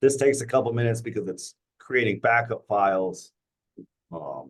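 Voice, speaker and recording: A man with a fairly low voice talks at a moderate pace. Vocal fry creeps into his speech. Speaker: software trainer at work meeting. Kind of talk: tutorial.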